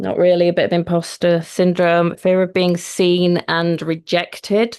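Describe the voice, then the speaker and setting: Against a quiet background, a woman with a Yorkshire accent speaks fairly slowly in a fairly low pitch. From Yorkshire, northern England. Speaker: mindset coach. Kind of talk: online workshop. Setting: live video stream.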